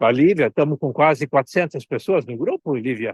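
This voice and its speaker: A man talks fairly quickly in an ordinary speaking voice, his pitch fairly high with ordinary variation. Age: 60s. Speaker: consultant and mentor. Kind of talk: online talk. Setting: outdoors at the beach.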